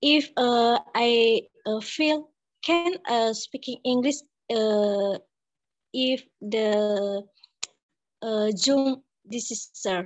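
Her pitch is fairly high, and the woman speaks at a very slow pace. Pitch variation is ordinary, and the background is quiet. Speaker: student. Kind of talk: question in class. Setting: video call. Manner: halting. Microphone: video call.

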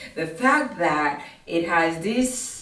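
Animated in tone, a woman speaks with lively intonation in an African accent. Audible room echo surrounds her voice. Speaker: fitness vlogger. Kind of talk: try-on haul review. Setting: outdoors in a park. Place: home room. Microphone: camera far.

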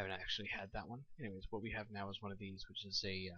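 Soft-spoken, a man talks at a fairly low pitch in a bright, sharp tone with fairly even intonation. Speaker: home video blogger. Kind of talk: casual product review. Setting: at home at night.

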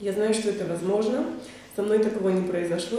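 Fairly even intonation amid strong room echo. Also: woman. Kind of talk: interview answer. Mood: warm, personal reflection.

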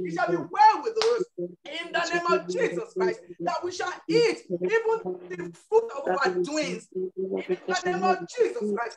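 A woman speaks at a fairly slow pace. Loud background noise runs under her voice. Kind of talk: fervent prayer. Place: home room. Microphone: video call.

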